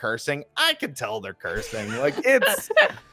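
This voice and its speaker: A man speaks with a New Jersey accent. His pace is moderate. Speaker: tabletop role-play player. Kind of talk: casual chat.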